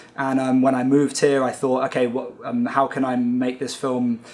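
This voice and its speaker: At a moderate pace, a man speaks with a British accent. His intonation is monotone and flat at a medium pitch. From UK. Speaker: film director. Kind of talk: interview. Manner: halting, many fillers.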